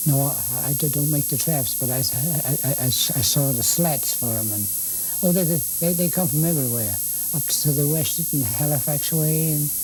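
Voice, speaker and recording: A man talks at a fairly high pitch over noticeable background noise. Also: ordinary pitch variation, moderate pace. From Lunenburg County, Nova Scotia, Canada. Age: 80s+. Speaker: woodworker and carpenter. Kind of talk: interview answer. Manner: stammering, repeats words.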